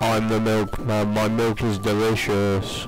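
A man's put-on character voice, fairly low in pitch and flat in intonation, at a fairly slow pace over clear background noise. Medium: game stream.

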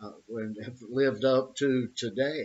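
A man is speaking. His pace is very slow. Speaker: boxing trainer. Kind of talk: opinion monologue. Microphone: webcam.

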